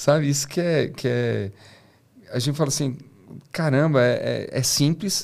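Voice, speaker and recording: Against a quiet background, a man talks at a fairly slow pace with long, frequent pauses. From Brazil, São José dos Campos; Brazil. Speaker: engineer and startup founder; podcast guest. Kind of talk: interview. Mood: reflective, sometimes somber. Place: studio. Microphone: studio mic.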